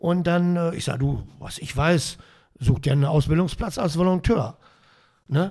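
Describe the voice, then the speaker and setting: This man has a high pitch and a dark, mellow tone, speaking at a moderate pace with ordinary pitch variation and long, frequent pauses. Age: 60s. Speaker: handball youth coach. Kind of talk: casual interview. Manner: repeats words, hesitant.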